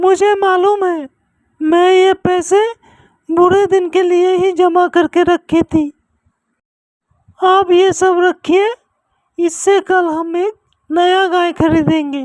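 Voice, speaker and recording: An extremely high, put-on character voice speaks at a fairly slow pace. Long, frequent pauses break it up. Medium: read story.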